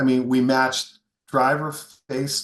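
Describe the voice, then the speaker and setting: A man speaks at a medium pitch and a very slow pace. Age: 60s. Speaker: golf equipment company founder, former long drive competitor. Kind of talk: podcast interview.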